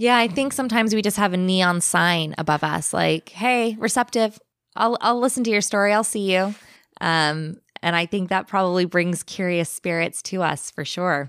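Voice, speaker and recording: A woman with a Californian accent, medium pitch, ordinary pitch variation and a moderate pace, in a very clean recording with a silent background. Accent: Californian American. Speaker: podcaster sharing paranormal stories. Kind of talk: storytelling in casual chat.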